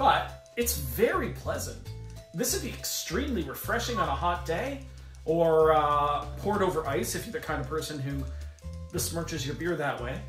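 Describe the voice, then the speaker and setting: The pace is moderate, and the room echo is audible. Faint music plays in the background. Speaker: beer show co-host. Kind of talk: casual tasting commentary. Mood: joking, bantering. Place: home room.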